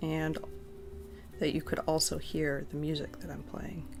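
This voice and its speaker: The speaker is soft-spoken, with music in the background. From Arizona, US. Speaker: crochet livestreamer. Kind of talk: casual livestream chat while crocheting. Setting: home basement room, livestream.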